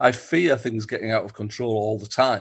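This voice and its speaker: Speaking at a moderate pace with a Teesside accent, a man uses a medium pitch, somewhat breathy delivery and ordinary pitch variation. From northern England (Stockton-on-Tees, Teesside). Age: 60s. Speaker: football writer and author. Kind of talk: interview. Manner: halting, many fillers and repeats.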